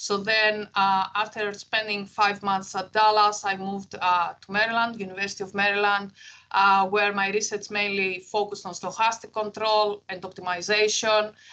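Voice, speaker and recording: A woman with a Greek accent speaks at a moderate pace in a bright, sharp tone with hardly any pauses. Her pitch is medium and her intonation is monotone and flat. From Greece. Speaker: engineering professor. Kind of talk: keynote lecture. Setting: university talk with audience. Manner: hesitant, many fillers.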